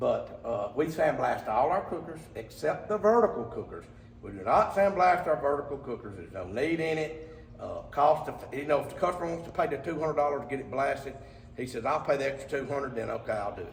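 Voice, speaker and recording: Speaking fairly quickly with an Alabama accent, a man with a fairly high pitch shows big swings in loudness amid audible room echo and noticeable background noise. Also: lively intonation. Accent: Southern US (Alabama). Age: 60s. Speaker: cooker fabricator. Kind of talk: product walkthrough video. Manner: casual, rambling with fillers.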